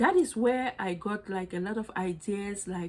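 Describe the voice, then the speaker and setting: With a non-native accent, a woman speaks at medium pitch and fairly even intonation over noticeable background noise. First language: not English. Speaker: fashion accessory designer and small business owner. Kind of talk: personal story monologue. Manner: casual, many fillers and restarts.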